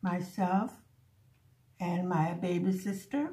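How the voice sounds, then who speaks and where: A woman speaks at a very slow pace with a slight Hungarian accent. Her medium-pitched voice is somewhat breathy, with a dark, mellow tone. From Buffalo, New York, with early childhood in Hungary. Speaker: crafting vlogger. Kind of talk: casual chat.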